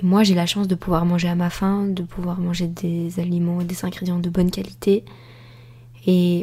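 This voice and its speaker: Somewhat breathy, a woman with a fairly low pitch and a dark, mellow tone speaks at a moderate pace with fairly even intonation. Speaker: podcast host and life coach. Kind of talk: solo podcast monologue. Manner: calm, composed; halting.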